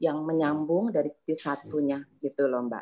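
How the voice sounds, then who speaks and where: Recorded dry and close with no echo, a woman with a very deep, low pitch speaks at a moderate pace. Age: 60s. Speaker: yoga teacher trainee. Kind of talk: testimony. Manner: halting.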